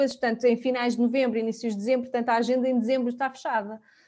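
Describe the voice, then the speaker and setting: At a very fast pace, a woman speaks in a high pitch with a dark, mellow tone and monotone, flat intonation. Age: 30s. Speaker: finance professional and mother sharing fertility story. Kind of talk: casual interview.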